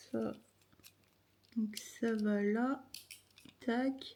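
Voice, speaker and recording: Very slow and somewhat breathy, a woman speaks in a dark, mellow tone at a fairly high pitch with fairly even intonation. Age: 50s. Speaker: chronic illness vlogger. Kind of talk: casual vlog talk to camera.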